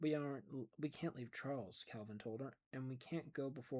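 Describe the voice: Pitch moves with ordinary variation. The delivery is plain reading aloud.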